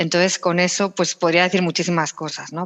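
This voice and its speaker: A woman with a slight Barcelona accent speaks with fairly even intonation in a dry, close sound with no echo. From Spain, Barcelona (Catalonia). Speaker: executive, talent and wellbeing leader. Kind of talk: podcast interview. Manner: hesitant, with filler sounds.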